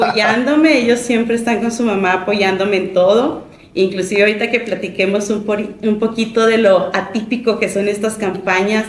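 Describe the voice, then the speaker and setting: A woman with a fairly high pitch speaks at a moderate pace with fairly even intonation and hardly any pauses. Noticeable background noise and audible room echo are present. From Mexico, Chihuahua city. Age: 40s. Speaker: judicial candidate, lawyer. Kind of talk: interview.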